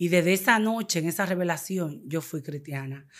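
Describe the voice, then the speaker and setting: Over a quiet background, a woman talks at a fairly low pitch with ordinary pitch variation. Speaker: evangelical convert giving testimony; guest. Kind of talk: testimony. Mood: earnest, emotional. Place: studio. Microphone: studio mic.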